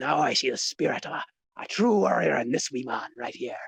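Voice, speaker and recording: A man puts on a raspy character voice at a medium pitch. He talks at a fairly quick pace. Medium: actual play. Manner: boisterous, teasing.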